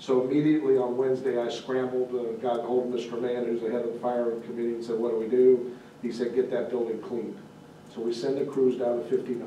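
In a room with audible echo and light background noise, a man talks fairly quickly in a flat monotone. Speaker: township official giving fire department report. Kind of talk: meeting report. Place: meeting room. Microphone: camera far.

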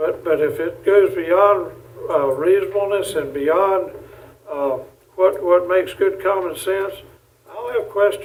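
A man with a North Carolina accent speaks fairly slowly at a high pitch. His intonation is fairly even, with long, frequent pauses. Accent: Southern US (North Carolina). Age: 70s. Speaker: county commissioner. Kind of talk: public board meeting remarks. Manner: impassioned.

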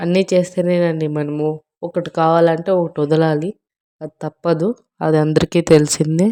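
In a dry, close sound with no echo, a woman speaks in a fairly low pitch with a dark, mellow tone and monotone, flat intonation. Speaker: weight loss vlogger. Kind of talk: casual vlog with cooking walkthrough. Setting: home kitchen, self-filmed handheld.

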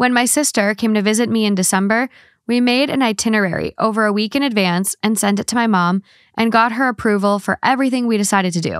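Talking at a very fast pace, a woman keeps her intonation fairly even and her loudness very even, with a dry sound with no echo and a quiet background. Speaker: podcast co-host. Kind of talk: casual advice chat. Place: home room. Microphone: studio mic.

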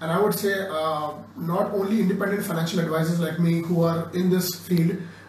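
A man's monotone, flat delivery amid audible room echo and light background noise. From India. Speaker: course participant, former advertising professional. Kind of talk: testimonial talk. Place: classroom. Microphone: phone near.

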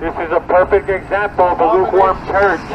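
Over noticeable background noise, a man speaks in a high pitch with monotone, flat intonation. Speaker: street preacher. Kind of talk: street preaching, loud, confrontational. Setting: outdoors. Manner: loud, fervent, urgent.

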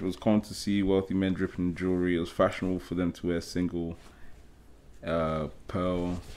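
With an English accent, a man is speaking. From England, Nigerian family. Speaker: podcast guest. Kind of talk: casual chat. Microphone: earbuds.

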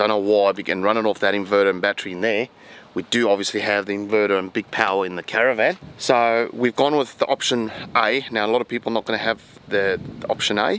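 At a very fast pace, a man speaks with a fairly low pitch and fairly even intonation, in a dry sound with no echo and light background noise. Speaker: travel vlogger. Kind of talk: casual vlog chat. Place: open country. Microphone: phone near.

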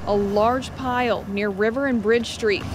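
A woman's fairly high voice at a moderate pace, with fairly even intonation and noticeable background noise. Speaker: TV news reporter. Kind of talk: news report. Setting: outdoors.

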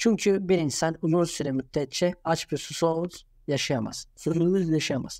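A very clean recording with a silent background, speech at a moderate pace, and ordinary pitch variation. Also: man. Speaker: YouTuber. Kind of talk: video commentary. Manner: halting.

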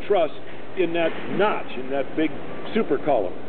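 A man's voice at a moderate pace, lively in intonation, with noticeable background noise. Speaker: stadium tour guide. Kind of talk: guided tour talk to a group, explaining facts and figures. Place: stadium. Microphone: camera far.

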